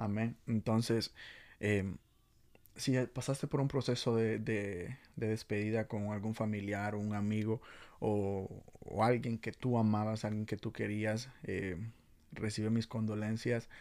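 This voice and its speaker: A man talks at a fairly slow pace with a fairly low pitch and fairly even intonation. The recording is very clean, with a silent background. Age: 20s. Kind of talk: casual youth devotional talk. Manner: halting, many fillers and repetitions.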